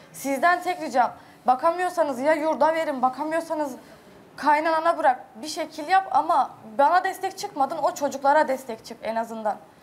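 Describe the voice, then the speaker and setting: The voice moves at a moderate pace with ordinary pitch variation and big swings in loudness. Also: woman. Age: young. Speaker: reality show guest. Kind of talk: emotional appeal. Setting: studio. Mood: hurt, pleading. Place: studio. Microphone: lapel.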